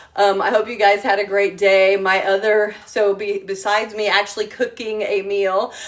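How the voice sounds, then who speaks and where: Noticeable background noise is present. The speaker's intonation stays monotone and flat. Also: woman. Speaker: travel agent and home-cooking livestreamer. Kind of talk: casual livestream chat. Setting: live video from her home kitchen. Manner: rambling with many fillers (um, uh).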